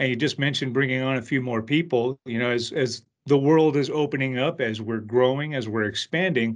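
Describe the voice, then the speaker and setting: A man's normal speaking voice, medium in pitch with ordinary pitch variation, at a fairly quick pace. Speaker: podcast host. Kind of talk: casual interview.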